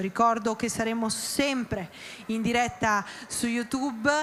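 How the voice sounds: This woman talks at a fairly slow pace with a medium pitch.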